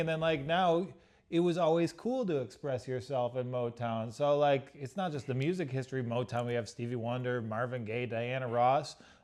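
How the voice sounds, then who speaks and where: On a very clean recording with a silent background, a man with an unremarkable speaking voice talks with lively intonation. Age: 30s. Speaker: podcast guest. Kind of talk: casual interview.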